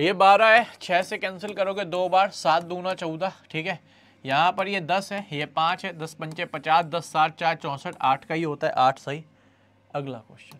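This man's high-pitched voice has fairly even intonation but big swings in loudness. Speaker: online maths teacher for exam aspirants. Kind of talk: live online class. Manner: quieter than usual.

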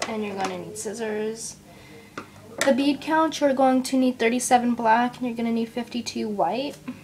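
Over noticeable background noise, a woman talks at a fairly high pitch. Her intonation stays fairly even. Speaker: kandi crafting tutorial maker. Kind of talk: tutorial. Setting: at home, family noise in background. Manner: casual, chatty, somewhat hesitant.

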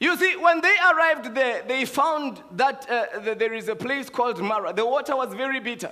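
Raising and projecting his voice, a man speaks at an extremely high pitch with lively intonation. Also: moderate pace, hardly any pauses. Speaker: preacher. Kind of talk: sermon. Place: church. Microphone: headset.

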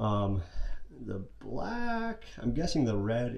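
This man talks at a fairly low pitch with ordinary pitch variation. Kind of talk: tutorial. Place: workshop. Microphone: phone near.

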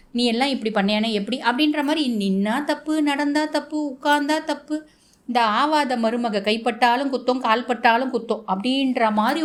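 The speaker is a woman with a high pitch. She uses ordinary pitch variation. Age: 30s. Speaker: astrologer. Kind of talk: astrology forecast monologue.

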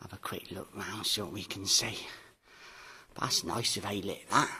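Low and husky with a rough edge, a man's voice has a bright, sharp tone. He speaks at a fairly slow pace. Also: fairly even intonation.

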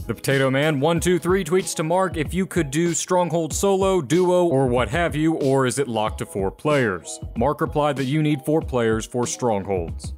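Over music in the background, a man speaks at a fairly high pitch in an upbeat tone with lively intonation and hardly any pauses. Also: moderate pace, very even loudness. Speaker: gaming news YouTuber. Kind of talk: game news roundup to camera.

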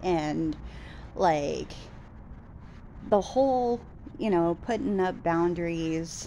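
A dark, mellow tone with ordinary pitch variation comes through over light background noise. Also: woman. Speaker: vlogger. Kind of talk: casual vlog chat. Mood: frustrated, venting about date. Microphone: phone near.

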